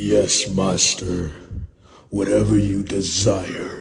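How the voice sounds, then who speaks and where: Using a put-on character voice, a man speaks raspy and very deep, with very low pitch. He goes at a very slow pace, with a slight echo around him. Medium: audio drama.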